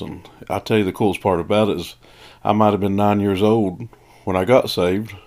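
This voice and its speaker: With an East Tennessee accent, a man talks at a moderate pace in a fairly low pitch and fairly even intonation, captured in a very clean recording with a silent background. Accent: Southern US (East Tennessee). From East Tennessee, outskirts of Knoxville. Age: 40s. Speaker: pastor and podcast host. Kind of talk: personal testimony. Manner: casual, folksy.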